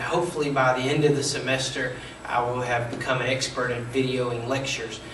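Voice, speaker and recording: A man's medium-pitched, monotone, flat voice amid noticeable background noise and audible room echo. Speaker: college instructor. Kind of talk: lecture. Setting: recorded video lecture. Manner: fast.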